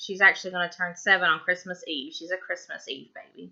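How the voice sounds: A woman with a Tennessee accent has a fairly low pitch and a bright, sharp tone. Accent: Southern US, Tennessee.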